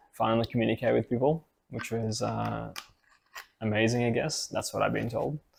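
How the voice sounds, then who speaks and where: The speaker is a man. He has an Australian accent. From Australia (from Ukraine at six). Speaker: IT professional, podcast co-host. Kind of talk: casual chat.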